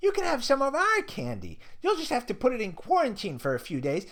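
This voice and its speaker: Someone puts on a character voice at a fairly quick pace over light background noise. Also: man, extremely high pitch for a man. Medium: read story.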